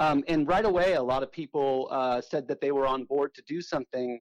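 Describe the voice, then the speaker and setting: A man with an unremarkable speaking voice and an American accent talks at a moderate pace and a fairly high pitch, with ordinary pitch variation and a dry, close sound with no echo. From Southern California. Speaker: author and punk drummer. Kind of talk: radio interview.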